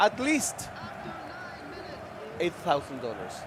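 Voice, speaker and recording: Someone talks with a Spanish accent over noticeable background noise. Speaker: esports commentator. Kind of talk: live commentary.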